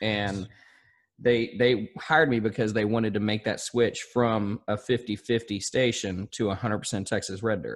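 In a Southern US accent, a man speaks with a medium pitch and ordinary pitch variation. The recording is very clean, with a silent background. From southern Arkansas. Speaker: country radio host. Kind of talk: casual interview chat.

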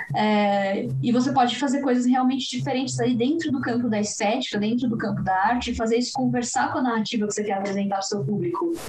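A woman speaks at a very fast pace with hardly any pauses. Noticeable background noise and audible room echo fill the recording. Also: fairly high pitch for a woman, lively intonation. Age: 20s. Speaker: animation film commentator. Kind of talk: casual chat.

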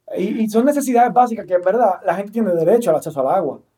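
A man's dark, mellow tone at a very fast pace, with ordinary pitch variation. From Dominican Republic, Santo Domingo. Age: 30s. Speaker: political candidate and activist. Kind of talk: interview.

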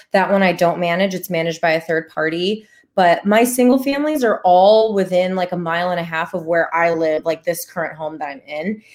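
A woman with an American accent talks in a normal speaking voice at a fairly quick pace, with hardly any pauses. Her pitch is fairly low, with ordinary pitch variation. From Chicago, Illinois. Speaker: real estate investor and physical therapist. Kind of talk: casual interview. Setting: live-streamed podcast.

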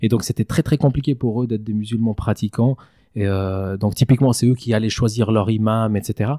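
Recorded very cleanly against a silent background, a man speaks at a moderate pace in a medium-pitched voice with a dark, mellow tone and fairly even intonation, the sound dry and close with no echo. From Switzerland, Valais; Kosovar family. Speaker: mosque founder and president. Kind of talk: casual interview.

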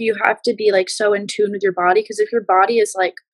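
A woman's fairly high voice at a very fast pace. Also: dry, close sound with no echo. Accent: American. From Los Angeles, California. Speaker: musician and mental health advocate. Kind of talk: casual interview chat.

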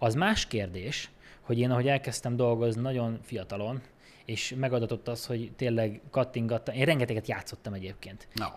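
A man talks at medium pitch with fairly even intonation. He has a plain, everyday voice. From Békés County, Hungary. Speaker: film editor. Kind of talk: casual chat.

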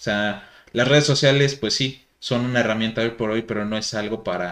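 The voice is a normal speaking voice at a moderate pace. The recording is very clean, with a silent background. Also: man. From Mexico. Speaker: podcast host. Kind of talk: casual chat.

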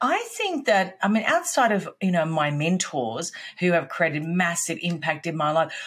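A woman with an Australian accent speaks at a moderate pace, her fairly low pitch carrying lively intonation. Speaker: business coach, former sales executive. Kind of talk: casual interview chat.

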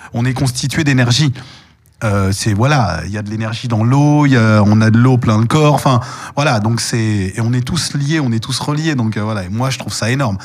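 A man's ordinary speaking voice, medium in pitch, at a moderate pace with ordinary pitch variation. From Paris, France. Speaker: voice actor and stage performer. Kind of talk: interview.

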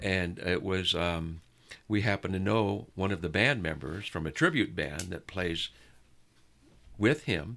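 A man with a West Coast US accent, a very deep, low pitch and a bright, sharp tone speaks at a fairly slow pace with lively intonation and long, frequent pauses. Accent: General American (West Coast). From US West Coast, Southern California. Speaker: music fan. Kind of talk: casual chat.

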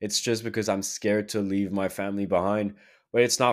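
Over a silent background in a very clean recording, a man speaks with a plain, everyday voice at a fairly low pitch. His pace is moderate and his intonation fairly even. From Quebec, Canada. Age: 20s. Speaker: podcast host. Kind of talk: casual solo monologue.

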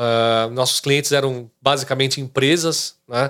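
A man speaking, captured in a very clean recording with a silent background. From Brazil, São Caetano, greater São Paulo. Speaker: real estate agent. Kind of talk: casual interview chat.

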